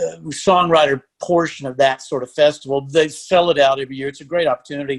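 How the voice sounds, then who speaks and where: Rattling along at a very fast pace with hardly any pauses, a man with a Texan accent speaks at a fairly high pitch in fairly even intonation. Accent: Texan Southern US. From Texas (Lampasas, central Texas). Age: 60s. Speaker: country musician and songwriter. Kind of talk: casual interview chat.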